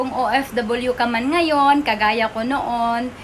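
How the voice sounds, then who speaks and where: A woman talks in a high pitch. Noticeable background noise runs underneath. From Sarangani province, Mindanao, Philippines. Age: 40s. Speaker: vlogger and former overseas worker turned entrepreneur. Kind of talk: personal introduction vlog. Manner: polite.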